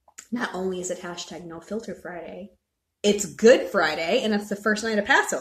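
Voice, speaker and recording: Her voice is somewhat breathy and sits at a medium pitch. The woman talks at a fairly slow pace with ordinary pitch variation. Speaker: entertainment gossip podcast host. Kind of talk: casual livestream chat. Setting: live video stream recorded as podcast.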